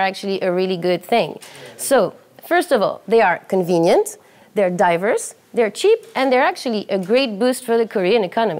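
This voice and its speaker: The pitch swings very widely at a moderate pace. Noticeable background noise is present. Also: woman. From France. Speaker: TV show panelist. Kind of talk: presentation. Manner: animated.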